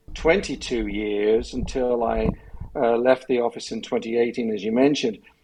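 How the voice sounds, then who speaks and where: A man with an English accent at a moderate pace. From England. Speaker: retired prosecutor, elder abuse lawyer. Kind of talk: podcast interview.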